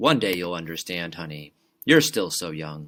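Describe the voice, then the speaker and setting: A man puts on a character voice with a very deep, low pitch. His pitch variation is ordinary. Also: very clean recording, silent background. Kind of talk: hushed, gentle, explaining. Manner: calm, measured, patient.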